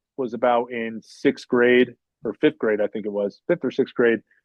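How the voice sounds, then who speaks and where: With fairly level intonation, a man speaks at a mid-range pitch. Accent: New Jersey. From northern New Jersey, US. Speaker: podcast guest. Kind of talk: casual interview chat. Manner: halting, many fillers.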